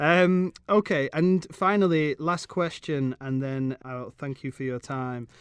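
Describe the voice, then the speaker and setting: A man's fairly high voice in a British accent, very slow yet with hardly any pauses, over a quiet background. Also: ordinary pitch variation, dry, close sound with no echo. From England. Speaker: podcast host. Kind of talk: podcast interview.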